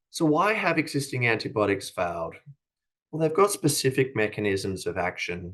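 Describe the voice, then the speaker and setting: With a quiet background, a man talks in an Australian accent with lively intonation. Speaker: company executive. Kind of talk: conference presentation. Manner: formal; frequent filler hesitations.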